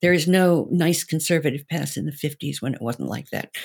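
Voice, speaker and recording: A woman's very deep, low voice with vocal fry, at a fairly quick pace, in a very clean recording with a silent background. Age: 70s. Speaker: sex educator and counselor. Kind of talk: panel debate.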